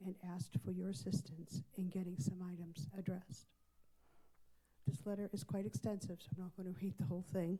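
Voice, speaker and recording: A woman's fairly low, somewhat breathy voice with a dark, mellow tone and a fairly quick pace. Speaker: civic association president speaking at public comment. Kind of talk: public comment at a town council meeting. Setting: town council meeting chamber. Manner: formal.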